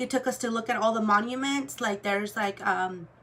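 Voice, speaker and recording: A fairly high-pitched woman at a moderate pace, with ordinary pitch variation and noticeable background noise. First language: Spanish. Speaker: luxury goods vlogger. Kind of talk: casual chat. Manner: casual, filler-heavy.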